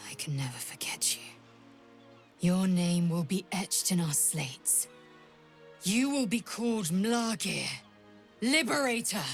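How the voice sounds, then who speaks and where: Music plays clearly behind a female-sounding put-on character voice at medium pitch for a woman, moving at a moderate pace with long, frequent pauses. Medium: video game. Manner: proclamatory.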